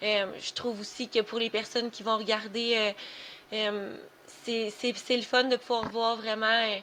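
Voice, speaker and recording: In a Quebec accent, a woman speaks in a fairly high, bright, sharp voice, flat and monotone, at a fairly slow pace. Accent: Québécois French. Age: 20s. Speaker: special education worker on sick leave, chronic illness advocate. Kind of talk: podcast interview. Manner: halting, many fillers.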